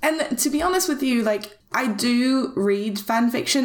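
A woman at a fairly slow pace, ordinary pitch variation, and noticeable background noise. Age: 20s. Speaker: podcast host. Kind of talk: casual chat.

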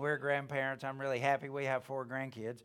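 A man at medium pitch with a Southern US accent, on a very clean recording with a silent background. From US South, Alabama. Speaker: preacher, ministry founder. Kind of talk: sermon. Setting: church service with audience.

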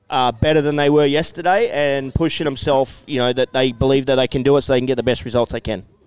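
A man with an Australian accent talks at a very fast pace with hardly any pauses. His intonation is fairly even, and the sound is dry and close with no echo. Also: medium pitch for a man. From Australia, New South Wales (Hunter Valley). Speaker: former pro motocross racer. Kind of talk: casual interview. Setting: outdoor event tent, live over PA.

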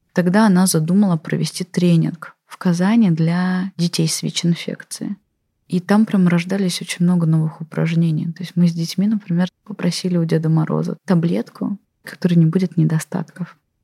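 In a somewhat breathy voice with a dark, mellow tone, a woman speaks at a fairly low pitch and moderate pace with fairly even intonation, in a dry, close sound with no echo. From Russia, Tatarstan (Kazan area). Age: 40s. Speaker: infectious disease doctor. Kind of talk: interview monologue.

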